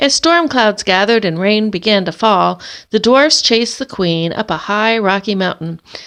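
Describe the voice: What the recording holds is plain reading aloud.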